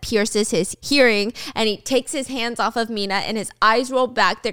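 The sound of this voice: Here is an unforced reading voice. It carries through the whole clip.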